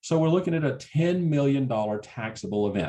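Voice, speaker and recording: A man with a Southern US accent speaks with lively intonation. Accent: Southern drawl. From US South, Alabama. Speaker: certified exit planner, tax presenter. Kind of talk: webinar presentation. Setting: webinar, online. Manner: casual, joking.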